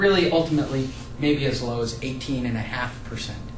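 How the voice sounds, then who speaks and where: The speech is fairly quick, with lively intonation. Audible room echo and noticeable background noise run through the clip. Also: man. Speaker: real estate investor and educator. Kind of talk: tutorial. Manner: fast.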